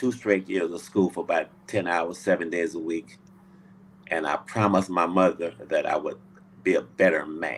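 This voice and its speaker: Someone talks at a moderate pace with a Louisiana accent and fairly even intonation. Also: man, very deep, low pitch for a man. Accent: Louisiana Southern US. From US South, Louisiana. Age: 70s. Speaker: Navy veteran. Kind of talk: interview. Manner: halting.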